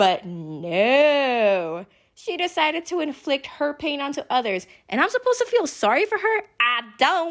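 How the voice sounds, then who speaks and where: Shouting with an animated tone and very wide pitch swings, a woman is heard on a very clean recording with a silent background. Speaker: youtuber. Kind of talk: casual commentary vlog. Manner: animated, yelling.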